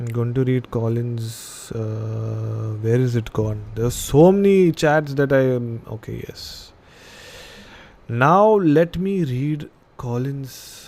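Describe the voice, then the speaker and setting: Lively intonation runs through this very slow delivery. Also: man, medium pitch for a man. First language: Indian language, not English. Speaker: podcast host. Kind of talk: live stream chat and story reading.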